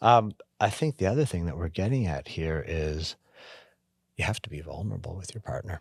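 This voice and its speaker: With a slight Canadian accent, a man with a very deep, low pitch speaks at a fairly quick pace, somewhat breathy and with lively intonation, leaving long, frequent pauses on a very clean recording with a silent background. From Canada. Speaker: podcast co-host. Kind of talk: casual chat.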